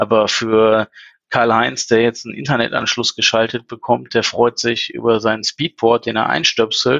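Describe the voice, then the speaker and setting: A man with a medium-pitched voice and vocal fry talks at a moderate pace, his intonation fairly even. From Ruhr area, Germany (Essen). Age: 40s. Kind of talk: casual chat.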